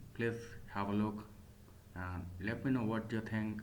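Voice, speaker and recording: A man with a non-native accent speaks at a fairly low pitch, with audible room echo. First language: not English. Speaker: MMA commentator / YouTuber. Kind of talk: solo commentary video. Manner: hesitant, with fillers and self-corrections.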